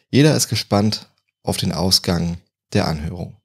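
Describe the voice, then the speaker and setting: A man talks at a fairly slow pace in an unremarkable speaking voice, with ordinary pitch variation. The recording is very clean, with a silent background. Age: 20s. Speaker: true crime podcaster. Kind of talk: storytelling narration.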